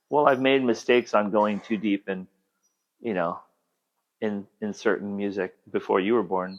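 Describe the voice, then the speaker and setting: Speaking at a moderate pace, a man with an American accent pauses long and often. His pitch is fairly low and his intonation fairly even. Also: quiet background. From Southern California. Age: 60s. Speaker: artist and musician. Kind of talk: casual chat. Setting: at home.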